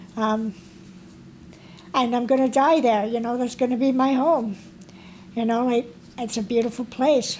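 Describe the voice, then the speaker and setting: Pausing long and often, a woman talks at a moderate pace in a high pitch with fairly even intonation. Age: 50s. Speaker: supportive housing tenant, formerly homeless. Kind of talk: testimony. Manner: halting, with many fillers.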